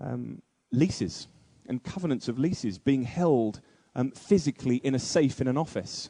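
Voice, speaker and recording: This man has a British accent and a medium pitch, with lively intonation. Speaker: conference speaker. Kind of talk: keynote speech. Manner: fast.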